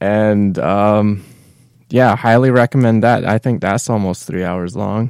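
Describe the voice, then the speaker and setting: A man speaks slowly-ish, at a fairly slow pace, with a fairly low pitch and fairly even intonation in an ordinary speaking voice. The recording is very clean, with a silent background. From Canada. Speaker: podcast host. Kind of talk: casual chat.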